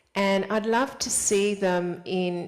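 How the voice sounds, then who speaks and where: Medium-pitched speech from a woman, noticeable background noise behind it. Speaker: spiritual vlogger. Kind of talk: casual monologue to camera. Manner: animated.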